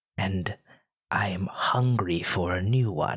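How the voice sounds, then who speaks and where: This is a put-on character voice. The recording is very clean, with a silent background. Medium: actual play. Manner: smooth, probing.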